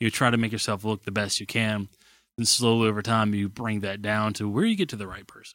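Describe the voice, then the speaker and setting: A man talks at a fairly quick pace in a fairly low, monotone, flat voice, his loudness swinging widely. The recording is very clean, with a silent background. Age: 20s. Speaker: podcast co-host. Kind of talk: casual chat.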